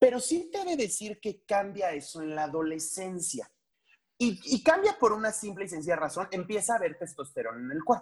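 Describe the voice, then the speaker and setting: Her loudness swings widely as this woman talks at a fairly quick pace, her pitch rising and falling across a very wide range. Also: medium pitch for a woman. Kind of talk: interview conversation.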